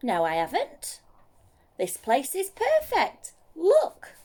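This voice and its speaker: This is a put-on character voice. It moves at a very slow pace. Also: woman, high pitch for a woman. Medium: read story. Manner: eager, friendly.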